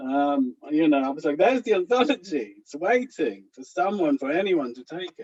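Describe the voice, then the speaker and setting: In an Israeli accent, a man with a high pitch makes very wide pitch swings, captured with a dry, close sound with no echo. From Israel (kibbutz). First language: Hebrew. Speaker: anthology editor and author. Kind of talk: panel discussion. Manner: hesitant, many fillers.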